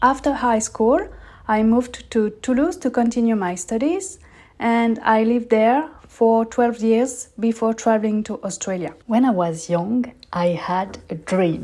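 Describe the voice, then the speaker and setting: A woman's fairly high, dark and mellow voice in a French accent, with lively intonation at a fairly slow pace, on a very clean recording with a silent background. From southern France. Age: 30s. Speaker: podcast host. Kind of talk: personal storytelling monologue.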